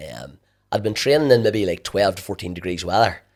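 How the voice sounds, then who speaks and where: The speaker has a Northern Irish accent and ordinary pitch variation. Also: man. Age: 40s. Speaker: endurance athlete. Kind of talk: interview. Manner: halting.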